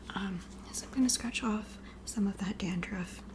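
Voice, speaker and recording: Noticeable background noise surrounds a woman's voice. She is soft-spoken, with a gentle tone. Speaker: ASMR creator doing a roleplay scalp examination. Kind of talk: ASMR roleplay, personal attention. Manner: soft-spoken, gentle.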